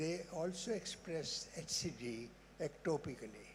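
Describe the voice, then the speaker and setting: The speaker is a man. He talks very slowly. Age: 80s+. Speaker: immunologist, audience member. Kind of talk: audience question at conference. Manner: halting.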